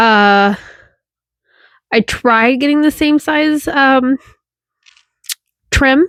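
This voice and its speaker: Against a silent background, this very clean recording has a dry, close sound with no echo. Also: woman. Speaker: sewing content creator. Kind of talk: casual tutorial vlog.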